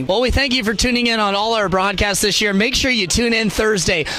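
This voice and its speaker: A man's raised, projected voice at a high pitch and fairly quick pace, over noticeable background noise. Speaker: sports broadcaster, play-by-play announcer. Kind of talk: post-game recap and interviewer questions.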